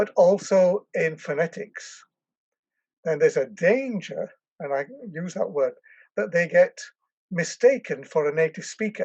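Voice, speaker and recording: In an English accent, a man speaks at a fairly slow pace with long, frequent pauses, in a dry, close sound with no echo against a quiet background. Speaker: language education professor. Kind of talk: interview. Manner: hesitant, with fillers and restarts.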